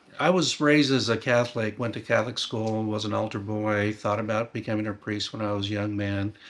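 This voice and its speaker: Against noticeable background noise, a man with an American accent and a fairly low pitch talks at a fairly quick pace. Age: 60s. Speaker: former church member. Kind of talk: interview testimony.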